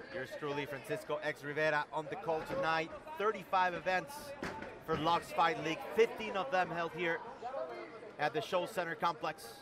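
A man with a high voice and ordinary pitch variation keeps a moderate pace amid noticeable background noise. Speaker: play-by-play commentator. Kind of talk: live fight commentary, excited race-call style. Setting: live event, cage-side.

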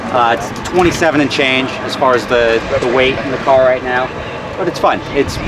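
At a moderate pace, a man talks amid loud background noise, the sound dry with no echo. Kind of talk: interview answer. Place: open country. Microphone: camera far.

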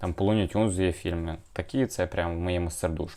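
Very deep and low, a man's voice comes at a moderate pace. His pitch variation is ordinary. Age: 20s. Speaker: YouTuber, comic collector. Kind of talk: casual video review.

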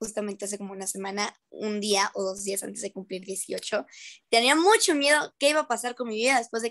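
A woman's pitch varies in an ordinary way as she talks at a fairly quick pace over a quiet background. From Mexico. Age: 18. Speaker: young singer and actress; actress. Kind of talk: casual interview. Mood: cheerful, upbeat. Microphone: video call.

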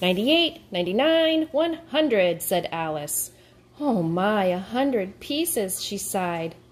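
The text is read aloud plainly. Nothing more than plain reading aloud is heard.

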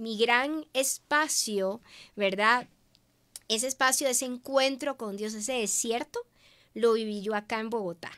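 Pitch rises and falls in an ordinary way. Little sound is heard behind the voice. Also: woman. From Venezuela. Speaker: businesswoman and media host; interview guest. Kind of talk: interview. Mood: warm, reflective testimony. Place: studio. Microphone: studio mic.

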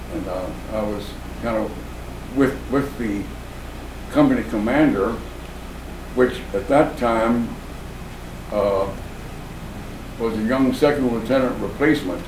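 A man with a medium pitch and an American accent talks at a fairly slow pace with ordinary pitch variation and long, frequent pauses over noticeable background noise. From Florida, USA. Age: 80s+. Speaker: WWII veteran, former Marine scout sniper. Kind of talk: interview answer. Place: home room.

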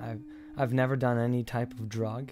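Clear music plays in the background. The speech moves at a moderate pace. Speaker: actor in a drama scene. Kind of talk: emotional dramatic dialogue. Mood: distressed, confessional. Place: kitchen.

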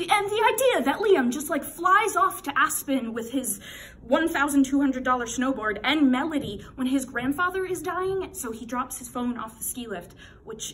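A woman's high pitch with very wide pitch swings at a moderate pace. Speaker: actor performing a character. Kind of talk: theatrical monologue performance, scripted dramatic piece delivered as a character. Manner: emphatic, building in intensity, with pauses for stress. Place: home room. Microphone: phone near.

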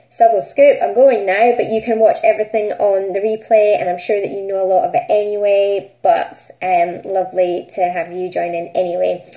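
A woman with a Scottish accent speaks at a moderate pace with ordinary pitch variation against a quiet background. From Scotland. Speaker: business networking group host. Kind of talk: live stream chat. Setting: live stream broadcast. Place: home room. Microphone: phone near.

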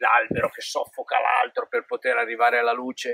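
Dry, echo-free audio of a male speaker. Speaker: presenter. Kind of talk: casual explanatory talk to camera. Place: open country. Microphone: phone near.

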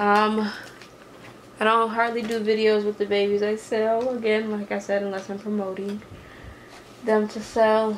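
A woman's monotone, flat delivery with long, frequent pauses and light background noise. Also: fairly high pitch for a woman, moderate pace. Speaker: reborn doll youtuber. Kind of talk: casual vlog talk to camera. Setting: home, on tripod camera. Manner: rambling with fillers. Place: home room. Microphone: camera far.

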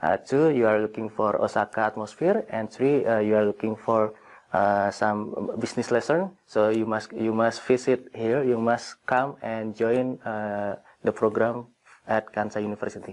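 At a moderate pace, a man of medium pitch speaks in an Indonesian accent with fairly even intonation. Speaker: graduate student. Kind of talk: interview. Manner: halting. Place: hall.

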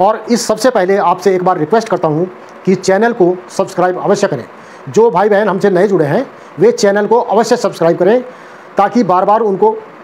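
The loudness stays very even throughout. Pitch varies in an ordinary way, with light background noise present. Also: man, high pitch for a man, moderate pace. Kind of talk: health advice talk to camera. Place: home room. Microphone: lapel.

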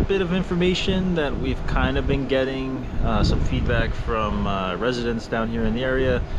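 Loud background noise surrounds the recording. A man speaks through it at a moderate pace. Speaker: family travel vlogger. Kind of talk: casual vlog chat. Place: garden. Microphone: phone near.

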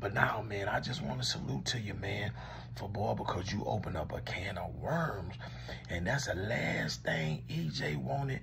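An animated voice with an American accent makes very wide pitch swings. Light background noise sits behind it. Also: man, fairly low pitch for a man, moderate pace. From Louisiana. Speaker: commentator. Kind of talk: comedic one-sided call skit. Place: home room. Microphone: phone near.

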